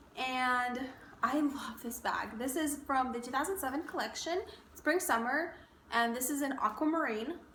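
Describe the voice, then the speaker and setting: Over noticeable background noise and audible room echo, a woman with a high pitch talks in an animated tone with ordinary pitch variation. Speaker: beauty and fashion vlogger. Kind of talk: casual chat. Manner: fast.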